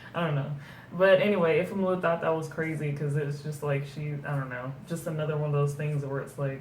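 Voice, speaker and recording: Over noticeable background noise and audible room echo, a woman talks at a fairly quick pace with a very deep, low pitch and fairly even intonation. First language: German. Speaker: book reviewer. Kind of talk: casual book review chat. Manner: hesitant, many fillers.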